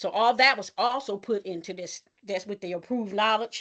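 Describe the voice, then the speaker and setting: Over a quiet background, a woman speaks at a fairly quick pace with a medium pitch and ordinary pitch variation. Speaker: community nonprofit program leader. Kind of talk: webinar presentation. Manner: fast.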